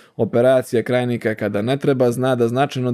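The voice has a dark, mellow tone and a fairly quick pace. The background is quiet. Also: man. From Montenegro, Bar; Montenegro. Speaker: ENT surgeon; guest. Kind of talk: interview. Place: studio. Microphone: studio mic.

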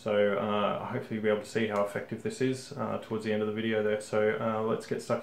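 This man's very fast speech comes with audible room echo. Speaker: hobby tutorial host. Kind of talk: tutorial. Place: home room.

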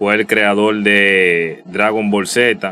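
Against light background noise, a man with a Dominican accent speaks very slowly, his fairly low voice bright and sharp in tone. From Dominican Republic. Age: 30s. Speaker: youtuber. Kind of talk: casual vlog commentary; casual commentary over screen share. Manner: halting, many repetitions and fillers. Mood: somber, nostalgic tribute. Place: home room.

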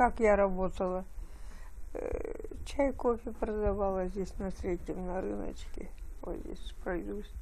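A woman speaks at a very slow pace over light background noise. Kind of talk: interview answer. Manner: frail, weak elderly voice from bed. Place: home room.

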